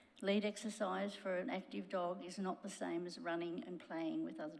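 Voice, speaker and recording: Speaking with an Australian accent, a woman has a medium pitch, lively intonation, vocal fry, and a moderate pace. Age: 70s. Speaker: local resident. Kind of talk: public submission.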